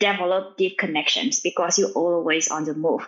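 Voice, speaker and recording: A woman with a Vietnamese accent. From Vietnam, small village. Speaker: machine learning engineer and startup founder. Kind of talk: interview. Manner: fast.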